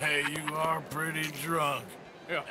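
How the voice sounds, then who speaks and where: A man uses a put-on character voice at a fairly high pitch. Background noise is clearly heard. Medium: short film. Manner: drawling, casual.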